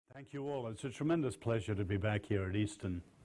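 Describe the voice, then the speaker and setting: Ordinary pitch variation marks speech delivered with an English accent. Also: man. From born in China, grew up in post-war western Europe. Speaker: social scientist and author. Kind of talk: public lecture.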